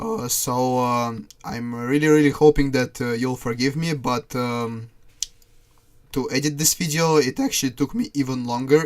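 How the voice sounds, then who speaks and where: Moderate pace, fairly even intonation, with a non-native accent. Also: man. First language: not English. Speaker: gaming YouTuber. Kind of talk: casual monologue.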